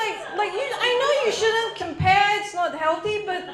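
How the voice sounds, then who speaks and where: A woman in a Singaporean accent at a moderate pace, with audible room echo. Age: 30s. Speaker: stand-up comedian. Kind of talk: stand-up. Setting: stage with audience.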